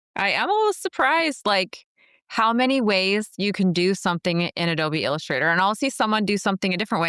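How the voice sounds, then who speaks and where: Very fast and bright and sharp in tone, a woman with an Upper Midwest accent speaks at a medium pitch with lively intonation. The recording is very clean, with a silent background and a dry, close sound with no echo. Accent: Upper Midwest American. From US Midwest, Minnesota. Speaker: podcast host, entrepreneur. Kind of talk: podcast interview.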